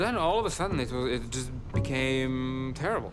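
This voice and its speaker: Over music in the background and audible room echo, a man talks at a moderate pace with ordinary pitch variation. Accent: Serbian. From Serbia, Belgrade. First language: Serbian. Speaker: street photographer. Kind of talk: documentary interview.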